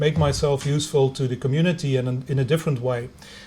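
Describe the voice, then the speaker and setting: A man with a Flemish accent talks very fast at a fairly high pitch. His intonation stays fairly even, and room echo can be heard. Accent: Belgian Dutch-speaker accent in English. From Belgium, Ghent (Flemish). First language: Dutch. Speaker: university lecturer in engineering. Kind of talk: lecture. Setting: video conference. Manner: halting, many fillers.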